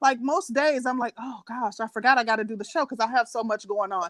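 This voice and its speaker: Loud and high-pitched, a woman's voice comes through. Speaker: podcast co-host. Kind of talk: casual chat. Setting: bedroom at home, live stream. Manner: halting. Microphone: echo in room.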